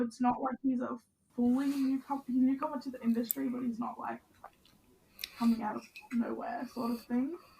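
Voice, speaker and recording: A woman's high voice with fairly even intonation at a moderate pace. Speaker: podcast co-host. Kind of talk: casual chat.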